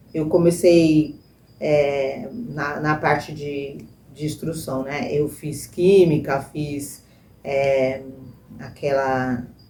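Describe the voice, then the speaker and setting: A woman talks at a very slow pace with ordinary pitch variation. Noticeable background noise and audible room echo surround her voice. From Brazil, São Paulo state (Baixada Santista from age 7). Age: 60s. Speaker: church member giving testimony, nursing technician. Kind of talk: testimony. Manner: hesitant, many fillers.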